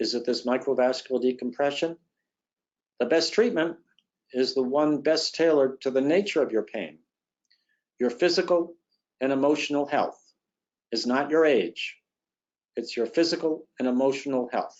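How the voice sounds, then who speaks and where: Long, frequent pauses break up the moderate pace. The pitch varies in an ordinary way. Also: man. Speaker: neurosurgeon giving a webinar talk. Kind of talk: webinar lecture. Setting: online webinar.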